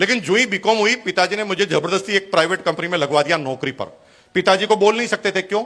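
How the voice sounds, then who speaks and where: A man talks at a moderate pace in an animated tone. His pitch is high and his tone bright and sharp. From Rajasthan, India (Bhilwara). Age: 50s. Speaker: businessman, motivational speaker. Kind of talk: motivational speech.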